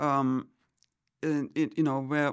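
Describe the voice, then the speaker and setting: This is a woman speaking. She has a German accent. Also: very clean recording, silent background. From Germany. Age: 70s. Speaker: churchgoer. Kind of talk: casual chat. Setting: studio. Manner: halting, many fillers.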